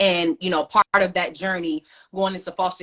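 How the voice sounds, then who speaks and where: Using a plain, everyday voice, a woman speaks with an American accent. Her pitch is fairly low and her pace fairly quick. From US Midwest, Cleveland, Ohio. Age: 30s. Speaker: author. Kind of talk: interview.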